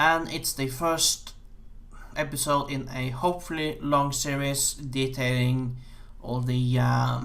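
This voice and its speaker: A man with an American accent speaks at a very slow pace and a fairly high pitch. His intonation is monotone and flat, with audible room echo around him. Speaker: game programmer. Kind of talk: game dev vlog. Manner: halting, many fillers.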